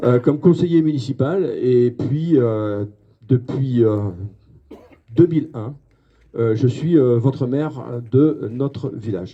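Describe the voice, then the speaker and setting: Dark and mellow in tone, a man speaks at a very slow pace with long, frequent pauses. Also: medium pitch for a man, ordinary pitch variation. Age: 60s. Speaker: mayor. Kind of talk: public speech. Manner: halting, many fillers.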